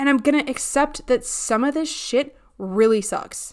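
A woman speaks at a fairly slow pace with ordinary pitch variation. It is an ordinary speaking voice. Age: 30s. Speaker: podcast host, behavior analyst. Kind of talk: casual solo podcast monologue.

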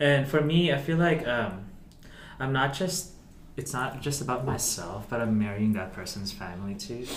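Noticeable background noise runs behind a man with a medium pitch and lively intonation. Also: moderate pace. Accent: Filipino. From Philippines. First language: Tagalog. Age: 20s. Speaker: guest. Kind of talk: casual chat. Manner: halting.

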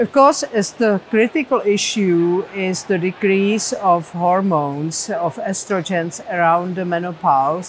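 A woman with a medium pitch talks at a fairly slow pace with ordinary pitch variation. Noticeable background noise is present. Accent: Czech. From Czech Republic. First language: Czech. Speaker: professor of medicine. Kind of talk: interview.

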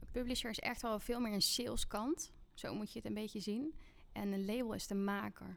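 With a plain, everyday voice, this woman talks at a moderate pace, her pitch varying in an ordinary way. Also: fairly high pitch for a woman. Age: 30s. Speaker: music artist manager. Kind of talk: casual interview.

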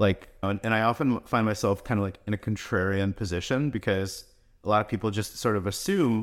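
Fairly low in pitch, a man speaks in a plain, everyday voice with fairly even intonation. He talks fairly quickly in a very clean recording with a silent background. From New York / New Jersey area, US (born in Russia, came as a child in 1990). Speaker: crypto investment firm founder. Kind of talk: podcast interview.

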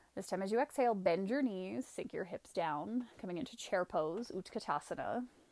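A woman talks at a moderate pace with medium pitch and ordinary pitch variation. It is an ordinary speaking voice. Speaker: yoga instructor. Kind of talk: guided yoga class, calling each breath and pose in a steady vinyasa flow. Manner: rhythmic, cueing breath by breath: 'Inhale... Exhale...' in short clipped commands; calm, gentle and soothing, softly inviting rather than ordering.

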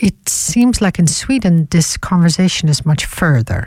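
A woman with a Dutch accent speaks at a fairly slow pace with lively intonation in a dry, close sound with no echo.

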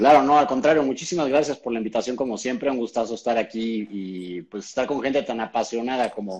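At a moderate pace, someone talks in an ordinary speaking voice. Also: man. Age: 40s. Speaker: keto diet expert. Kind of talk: interview on a live stream.

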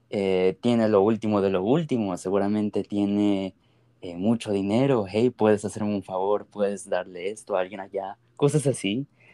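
A man's fairly low, dark and mellow voice at a moderate pace, with fairly even intonation and a dry, close sound with no echo. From US-born, grew up in Ecuador. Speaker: podcast host. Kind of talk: casual chat.

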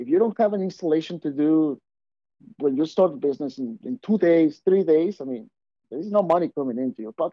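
A man with a Mexican accent, fairly high pitch, lively intonation and a fairly quick pace. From Mexico. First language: Spanish. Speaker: auto glass installer and business owner. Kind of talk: casual interview chat.

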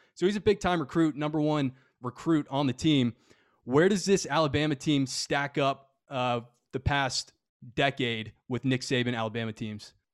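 A man with a normal speaking voice, fairly high in pitch, with ordinary pitch variation at a moderate pace, in a dry, close sound with no echo. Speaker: podcast host. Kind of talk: casual sports podcast talk.

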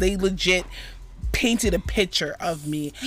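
Music plays in the background as a woman speaks at a moderate pace. She has an American accent and an animated tone. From Florida, Jamaican family. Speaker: podcast co-host. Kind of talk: casual chat.

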